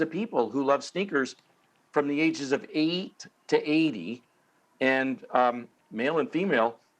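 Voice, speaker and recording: At a fairly slow pace, a man talks with a fairly high pitch and ordinary pitch variation. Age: 60s. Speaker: sneaker collector and businessman. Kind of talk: panel discussion. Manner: halting, with many fillers.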